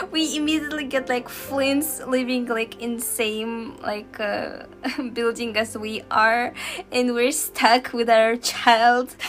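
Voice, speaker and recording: With a slight Russian accent, a woman speaks at a very slow pace and a high pitch with ordinary pitch variation while music plays in the background. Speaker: video game streamer. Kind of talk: casual chat.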